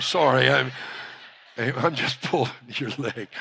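Fairly even intonation and a bright, sharp tone, with a Louisiana accent. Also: man. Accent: Louisiana Southern US. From Louisiana, US. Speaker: pastor. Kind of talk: sermon.

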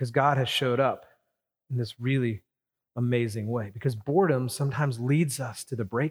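The man uses an ordinary speaking voice at medium pitch with fairly even intonation. The sound is dry and close, with no echo. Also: fairly quick pace. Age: 40s. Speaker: pastor. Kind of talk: sermon.

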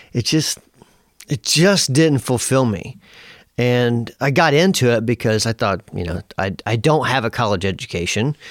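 At a moderate pace, a man uses a plain, everyday voice with lively intonation at a medium pitch, captured in a very clean recording with a silent background and a dry, close sound with no echo. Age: 40s. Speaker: guitar pedal company founder. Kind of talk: interview.

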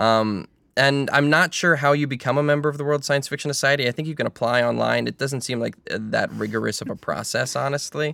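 On a very clean recording with a silent background, a man with an American accent talks at a fairly high pitch and fairly quick pace, bright and sharp in tone, with fairly even intonation and hardly any pauses. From Maryland, US. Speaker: podcast host. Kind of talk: casual chat.

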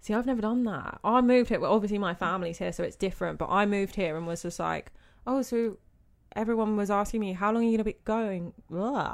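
A woman at a medium pitch speaks at a very fast pace. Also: ordinary pitch variation, very clean recording, silent background. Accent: British. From Britain. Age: 20s. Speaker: event manager. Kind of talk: casual chat.

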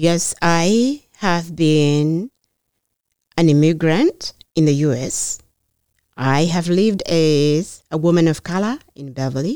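Speaking at a very slow pace with a Kenyan accent, a woman has a dark, mellow tone, a fairly low pitch and ordinary pitch variation. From rural Kenya. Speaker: mayoral candidate and public health nurse. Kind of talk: interview. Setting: podcast studio.

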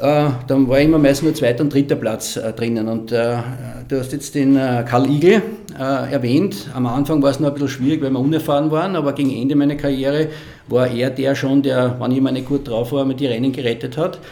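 A man's fairly high-pitched, fairly quick speech with fairly even intonation, set against noticeable background noise. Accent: Austrian. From Lower Austria. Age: 60s. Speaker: former cyclist and sports marketing manager. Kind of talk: casual interview.

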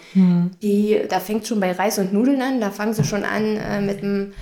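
A woman speaks at a moderate pace with fairly even intonation and a medium pitch. Noticeable background noise sits behind her. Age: 30s. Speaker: head of housekeeping in care home. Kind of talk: casual interview. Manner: hesitant with fillers.

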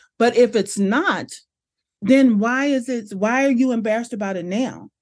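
The speaker has an American accent and an animated tone with ordinary pitch variation. The background is quiet. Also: woman. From Los Angeles, US West Coast. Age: 50s. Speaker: brand strategist and business coach. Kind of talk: casual interview.

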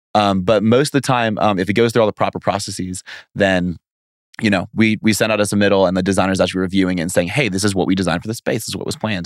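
Speaking very fast with a slight Southern US accent, a man with a fairly low pitch keeps a fairly even intonation in a dry, close sound with no echo. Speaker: lighting business founder, side-business entrepreneur.

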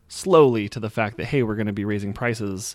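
In a very clean recording with a silent background, a man with an American accent and a normal speaking voice speaks at a fairly low pitch with fairly even intonation. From Utah. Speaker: lawn care business owner. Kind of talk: casual interview chat.

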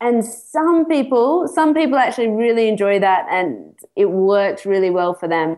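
Talking at a moderate pace with hardly any pauses, a woman with an Australian accent uses a fairly high pitch that swings very widely. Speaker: psychologist and therapist. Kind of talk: interview. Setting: remote call from Mexico.

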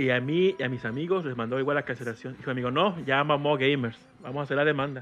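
A man speaks very fast in a fairly high pitch, with ordinary pitch variation. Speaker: podcast guest. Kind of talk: casual chat. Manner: animated.

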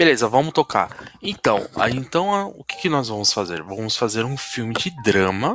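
Noticeable background noise sits behind a man of medium pitch who speaks at a moderate pace with very wide pitch swings. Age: 40s. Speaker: podcast host. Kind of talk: casual chat.

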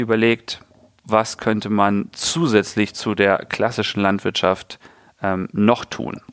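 A man's medium-pitched voice at a fairly slow pace, with fairly even intonation, on a very clean recording with a silent background. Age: 30s. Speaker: farmer and founder. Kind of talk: interview. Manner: hesitant with fillers.

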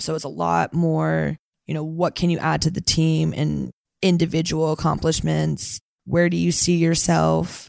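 On a very clean recording with a silent background and a dry, close sound with no echo, a woman with an American accent speaks at a fairly slow pace. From Northern California, Santa Cruz. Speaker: tech sales account executive. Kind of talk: interview. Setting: alumni lounge recording.

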